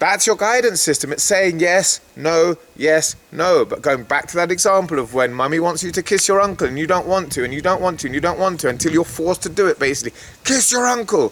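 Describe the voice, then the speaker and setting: A man with an English accent, high in pitch, fairly quick, with lively intonation over noticeable background noise. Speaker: spiritual guidance vlogger. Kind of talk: monologue to camera.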